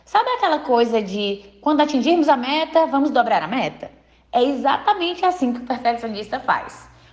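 With lively intonation and a high pitch, a woman speaks over noticeable background noise. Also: moderate pace. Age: 20s. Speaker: clinical psychologist and podcast host. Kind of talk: scripted narration.

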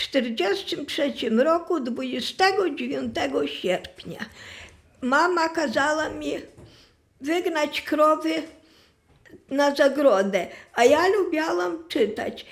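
Speaking very slowly, a woman with a high pitch moves through very wide pitch swings. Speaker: massacre survivor. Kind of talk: testimony. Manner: halting.

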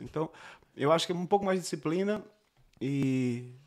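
Lively in intonation, a man talks at a fairly quick pace with a fairly high pitch. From Pernambuco, Brazil (Recife area). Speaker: singer-songwriter. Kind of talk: interview. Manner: shy.

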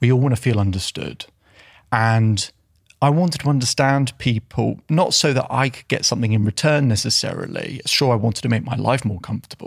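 In an ordinary speaking voice, a man talks at a fairly quick pace, with medium pitch and ordinary pitch variation. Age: 30s. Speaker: self-belief coach. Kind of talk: casual interview. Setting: studio.

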